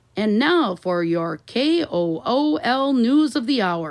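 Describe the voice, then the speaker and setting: Using a put-on character voice, a woman speaks at a fairly slow pace with fairly high pitch, very wide pitch swings and very even loudness. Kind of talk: radio news bulletin. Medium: read story.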